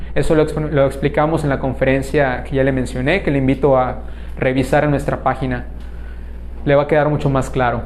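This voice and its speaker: With a Yucatán accent, a man speaks at a fairly quick pace. Audible room echo and noticeable background noise fill the recording. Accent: southern Mexican (Yucatán). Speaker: spiritual lecturer. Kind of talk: lecture Q&A; closing announcements. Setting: conference hall with live audience and online stream.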